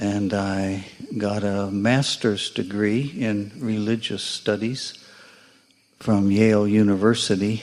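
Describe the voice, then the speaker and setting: An American-accented man speaks at a very slow pace with a fairly low pitch. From United States. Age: 70s. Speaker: meditation student. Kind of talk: personal testimony.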